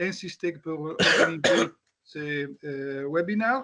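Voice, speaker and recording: A man's delivery is very slow, and his pitch varies in an ordinary way. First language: not French (speaking French). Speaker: company founder and inventor. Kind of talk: brief self-introduction. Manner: halting.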